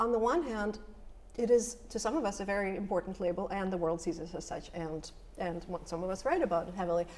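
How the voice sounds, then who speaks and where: A woman with a slight Russian accent talks at a fairly quick pace. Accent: slight Russian accent, comes out when nervous. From former Soviet Union. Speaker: poet. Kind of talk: panel discussion.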